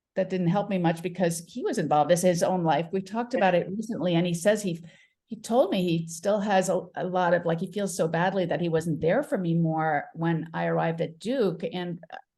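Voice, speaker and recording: Fairly low in pitch, a woman's voice has a dark, mellow tone and is somewhat breathy. She talks at a fairly quick pace with hardly any pauses. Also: ordinary pitch variation. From Paris, France, then Connecticut from age 13. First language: French. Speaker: midlife mentor. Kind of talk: interview. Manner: halting, many fillers.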